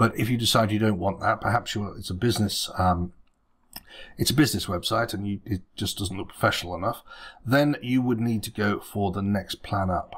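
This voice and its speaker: A man speaks fairly quickly at a fairly low pitch, somewhat breathy. His pitch varies in an ordinary way against a quiet background. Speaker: web design tutor. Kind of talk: tutorial. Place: home room.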